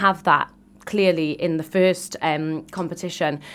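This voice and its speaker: A woman's fairly low voice with fairly even intonation and a fairly slow pace, in a very clean recording over a silent background. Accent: Welsh. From Wales, Cardiff area. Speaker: beauty queen and activist. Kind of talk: radio interview. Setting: radio studio.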